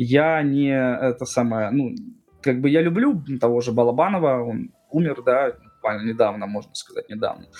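A man talks at a moderate pace and medium pitch. Noticeable background noise runs under his voice. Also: ordinary pitch variation. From Russia. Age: 30s. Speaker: blogger, programmer. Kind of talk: casual chat.

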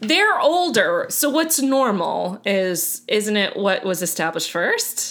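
Very slow, nearly pauseless speech from a woman with an American accent, fairly high in pitch with very wide pitch swings. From Miami, Florida. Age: 30s. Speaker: podcast co-host. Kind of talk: casual chat.

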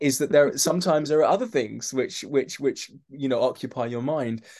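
A man speaks with a London accent at a moderate pace. His voice sits fairly high. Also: quiet background. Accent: London accent, mistaken for Mockney. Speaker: actor and novelist. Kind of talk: casual chat. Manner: halting, repeats words.

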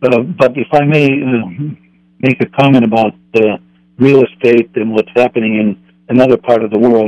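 With a dark, mellow tone and medium pitch, a man talks at a moderate pace with fairly even intonation and long, frequent pauses, in a dry, close sound with no echo. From Finland. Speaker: caller. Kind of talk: call-in comment. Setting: phone call. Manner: halting with many fillers.

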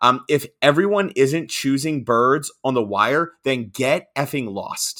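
Here a medium-pitched man speaks in an American accent with lively intonation and a bright, sharp tone. The recording is very clean, with a silent background. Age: 30s. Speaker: podcast co-host. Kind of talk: casual chat.

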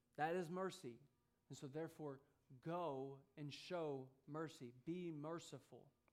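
A man with an American accent and a fairly high pitch speaks fairly slowly with fairly even intonation and long, frequent pauses, with audible room echo. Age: 30s. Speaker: preacher. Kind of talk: sermon. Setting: church.

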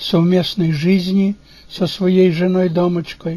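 With a Ukrainian accent, a man speaks very slowly in a high, monotone, flat voice. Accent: Ukrainian-accented Russian. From Ukraine, Bukovina (Chernivtsi region). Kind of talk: reading aloud. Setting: home studio.

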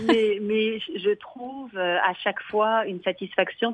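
Pitch varies in an ordinary way across a plain, everyday voice. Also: woman. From France, Limoges. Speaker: arts venue director. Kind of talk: radio interview. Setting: phone call.

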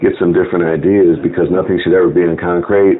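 Noticeable background noise sits behind a man with a very deep, low pitch. He speaks at a fairly quick pace in a monotone, flat intonation. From Chicago. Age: 50s. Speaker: lodge secretary, Freemason. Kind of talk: interview.

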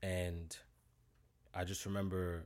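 In a New York accent, a man with a very deep, low pitch talks with fairly even intonation on a very clean recording with a silent background. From Brooklyn, New York (East Flatbush). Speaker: fitness trainer. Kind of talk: interview.

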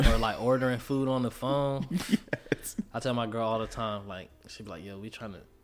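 With music in the background, a man of medium pitch talks at a moderate pace and with ordinary pitch variation. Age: 20s. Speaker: rapper. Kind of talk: casual chat.

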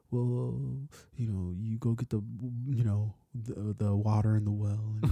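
In a put-on character voice, a soft-spoken man mumbles at a fairly slow pace with a fairly low pitch. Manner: soft, mumbling.

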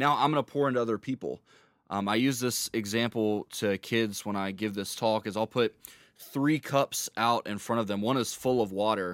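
A man with an ordinary speaking voice talks at medium pitch with ordinary pitch variation, in a very clean recording with a silent background. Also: moderate pace, dry, close sound with no echo. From North Carolina, Charlotte. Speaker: youth minister. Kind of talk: testimony.

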